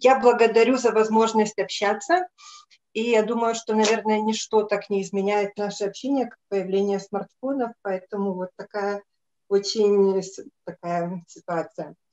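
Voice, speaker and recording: Medium in pitch, a woman's voice moves at a fairly slow pace. Her intonation stays fairly even. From Lithuania. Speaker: adult educator; guest. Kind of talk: asking a question; conversational remarks. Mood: warm, smiling. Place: home room. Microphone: video call.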